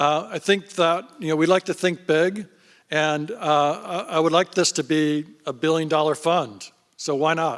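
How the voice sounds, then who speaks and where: Fairly even intonation and a fairly slow pace mark a plain, everyday voice. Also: man, fairly high pitch for a man. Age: 60s. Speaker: fund founder and investor. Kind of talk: panel interview on stage.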